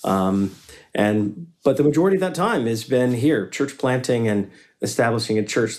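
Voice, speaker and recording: A man speaks at a moderate pace and medium pitch. The recording is very clean, with a silent background. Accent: Southern US. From US South, Western North Carolina. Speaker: pastor and business founder. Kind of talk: casual interview.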